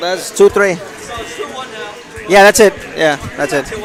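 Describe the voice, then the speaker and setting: A man talks at a moderate pace with audible room echo and crowd noise in the background. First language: not English. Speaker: tournament streamer and player. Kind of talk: live commentary. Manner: casual, hesitant with fillers.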